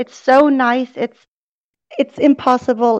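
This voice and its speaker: A woman speaks at a very slow pace in a high pitch. The sound is dry and close, with no echo. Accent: German. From southern Germany. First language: German. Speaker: podcast guest. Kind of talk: casual chat. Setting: video call. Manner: outgoing.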